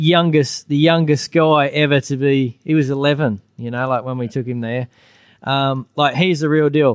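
Speaking at a moderate pace, a man with an Australian accent keeps his intonation fairly even. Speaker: former motorcycle racer, junior racing coach. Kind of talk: live podcast recording with audience. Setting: stage with audience.

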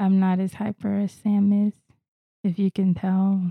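Very slowly and somewhat breathily, a woman speaks at a medium pitch in a dark, mellow tone, the sound dry and close with no echo. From Florida. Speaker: podcast host. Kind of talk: casual chat.

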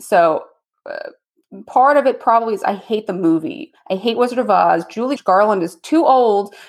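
A woman speaks with an unremarkable speaking voice at a moderate pace. Her pitch is fairly high, and her intonation is lively. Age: 30s. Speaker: lawyer and pinball player. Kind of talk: casual chat.

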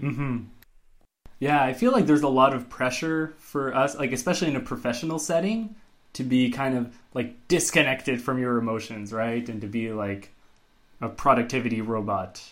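An unremarkable speaking voice from a man, medium in pitch, moderate in pace, with ordinary pitch variation. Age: 30s. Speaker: podcast co-host, iOS developer. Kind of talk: casual chat.

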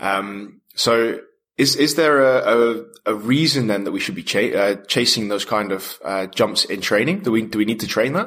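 Speaking at a moderate pace and medium pitch, a man uses a plain, everyday voice with ordinary pitch variation. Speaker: podcast host. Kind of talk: interview.

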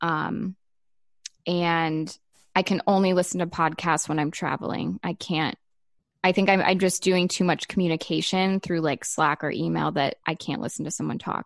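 A woman with an ordinary speaking voice, fairly low in pitch, with fairly even intonation at a moderate pace, in a dry, close sound with no echo. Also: quiet background. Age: 30s. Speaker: designer and photographer, small business owner. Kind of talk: casual interview chat.

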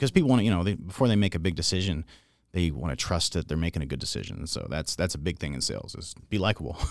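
A man talks at a very fast pace in a very deep, low pitch, with vocal fry and lively intonation. The recording is very clean, with a silent background. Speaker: car sales manager. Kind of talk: casual interview chat.

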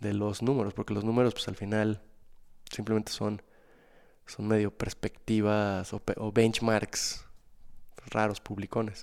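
The delivery is fairly slow, with long, frequent pauses. The intonation stays monotone and flat. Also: man, fairly low pitch for a man. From Mexico, Guadalajara. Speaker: restaurant and nightlife entrepreneur. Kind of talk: interview.

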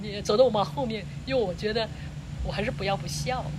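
Fairly quick speech from a woman, with noticeable background noise and audible room echo. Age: 60s. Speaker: interviewee, host's aunt. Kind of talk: casual interview. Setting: outdoors, roadside in mountains. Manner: halting, repetitive.

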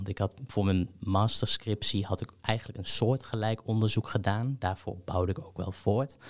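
A man with an ordinary speaking voice talks at a moderate pace, medium in pitch and with ordinary pitch variation. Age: 20s. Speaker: PhD researcher in history. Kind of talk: interview.

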